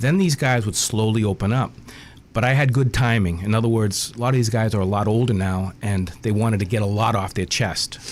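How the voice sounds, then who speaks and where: A man speaks at a fairly quick pace in a fairly low pitch, his loudness very even throughout. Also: ordinary pitch variation. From Boston. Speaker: author. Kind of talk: radio interview. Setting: radio studio.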